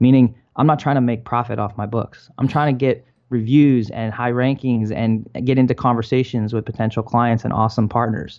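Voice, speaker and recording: In an American accent, a man with an unremarkable speaking voice talks at a fairly quick pace, his medium pitch held to fairly even intonation. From Maryland, US. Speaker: author and entrepreneur. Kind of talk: interview.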